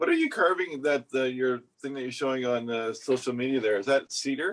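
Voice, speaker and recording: A man with a slight Canadian accent speaks at a medium pitch. His pace is fairly quick and his pitch varies in an ordinary way. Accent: subtle Canadian. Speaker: woodcarver podcast co-host. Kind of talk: casual chat.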